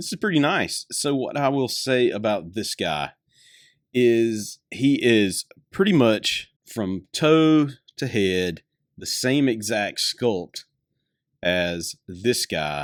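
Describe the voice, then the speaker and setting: A man at a very slow pace with very wide pitch swings, in a dry, close sound with no echo on a very clean recording with a silent background. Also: medium pitch for a man. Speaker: toy reviewer. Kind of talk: product review. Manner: casual, hesitant.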